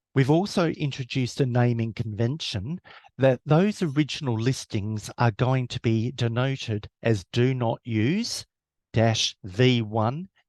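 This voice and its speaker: Against a quiet background, a man with an Australian accent talks at a fairly slow pace with medium pitch and ordinary pitch variation, in a dry, close sound with no echo. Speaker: webinar presenter. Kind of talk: webinar presentation.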